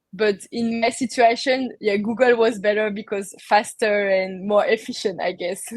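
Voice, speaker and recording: A woman with a French accent, fairly high pitch, fairly even intonation and a moderate pace. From France. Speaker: crypto industry worker and entrepreneur. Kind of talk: interview conversation. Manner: halting.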